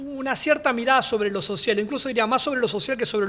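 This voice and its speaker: A man is talking. His pace is very fast. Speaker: historian, panelist. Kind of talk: academic talk. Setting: panel talk at a library.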